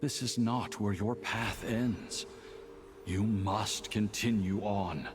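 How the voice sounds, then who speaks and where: A man speaks at a very slow pace in a put-on character voice. Background noise is clearly audible. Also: fairly low pitch for a man. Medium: video game. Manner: solemn, urging.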